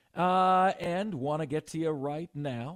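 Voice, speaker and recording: A man talks with ordinary pitch variation. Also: very clean recording, silent background. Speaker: radio host. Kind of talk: radio dj patter. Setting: studio. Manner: animated; upbeat, punchy, high-energy.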